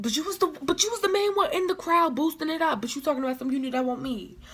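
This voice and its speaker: A woman speaks loudly in an animated tone, her pitch swinging very widely. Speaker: vlogger. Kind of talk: storytime vlog.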